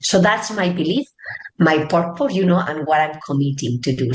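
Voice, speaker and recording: Speaking at a moderate pace, a woman with a Spanish accent uses lively intonation. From Spain, Barcelona. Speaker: tech executive. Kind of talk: interview.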